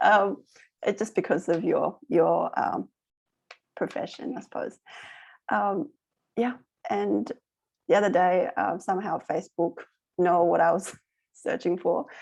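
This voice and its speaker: Pausing long and often, a woman talks at a fairly slow pace. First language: not English. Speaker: online course host. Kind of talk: casual chat.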